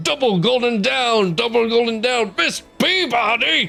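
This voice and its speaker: A man does a put-on character voice at an extremely high pitch and a moderate pace. Music plays clearly in the background. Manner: jovial, yelling.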